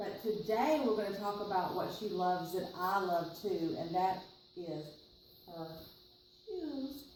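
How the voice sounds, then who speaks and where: With a Southern accent, a woman talks at a fairly slow pace with long, frequent pauses, her medium-pitched voice animated in tone and lively in intonation, amid noticeable background noise and audible room echo. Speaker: library storyteller. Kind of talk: reading aloud to children.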